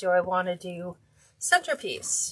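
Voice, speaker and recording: At a fairly slow pace, a woman with medium pitch speaks in a plain, everyday voice. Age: 60s. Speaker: wreath maker, craft livestream host. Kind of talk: live craft tutorial. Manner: casual, chatty.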